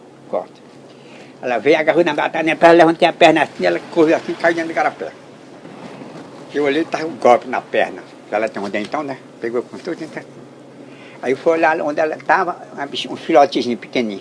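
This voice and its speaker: This man talks very fast at a fairly high pitch, with ordinary pitch variation, big swings in loudness, long and frequent pauses, and noticeable background noise. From Brazil, Ceará (Limoeiro do Norte), then Amazon rubber estate. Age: 80s+. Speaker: elderly rubber tapper. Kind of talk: storytelling interview. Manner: animated.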